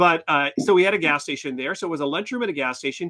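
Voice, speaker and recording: A man with a high pitch at a fairly quick pace, against a quiet background. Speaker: podcast co-host. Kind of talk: casual chat. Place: home room.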